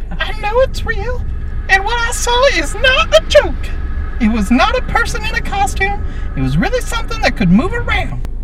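A put-on character voice at a moderate pace over loud background noise. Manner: earnest, emphatic.

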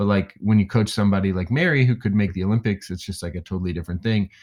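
On a very clean recording with a silent background, a man with an American accent talks in a plain, everyday voice, fairly low in pitch with ordinary pitch variation. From Indiana, US Midwest. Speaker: weightlifting coach. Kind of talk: casual interview conversation.

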